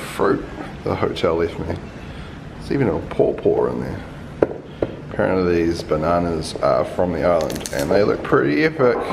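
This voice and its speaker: Fairly quick speech from a man, with noticeable background noise. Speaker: travel vlogger. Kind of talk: casual vlog chat. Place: home room. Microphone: phone near.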